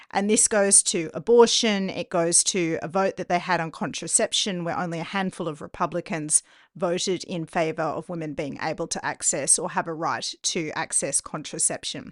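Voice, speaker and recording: A woman with an Australian accent, fairly low in pitch, at a moderate pace with hardly any pauses and ordinary pitch variation, in a dry, close sound with no echo and a quiet background. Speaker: podcast host, journalist. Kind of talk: interview.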